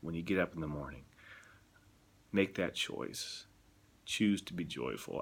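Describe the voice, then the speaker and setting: A man speaks in a soft-spoken way. His pitch is very deep and low, with ordinary variation. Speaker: missionary. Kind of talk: video blog. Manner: halting.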